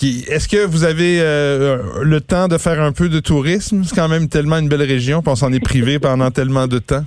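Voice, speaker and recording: With a Quebec accent, a man speaks at a fairly high pitch and a moderate pace, his loudness very even and his speech with hardly any pauses. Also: ordinary pitch variation. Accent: Québécois French. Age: 50s. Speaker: podcast host. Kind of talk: casual chat.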